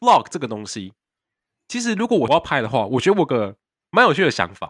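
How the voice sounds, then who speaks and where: Recorded very cleanly against a silent background with a dry, close sound and no echo, a man with a fairly high pitch talks at a fairly quick pace, his voice showing vocal fry and very wide pitch swings. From Taiwan. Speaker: podcast co-host, exchange student. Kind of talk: casual chat. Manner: fast.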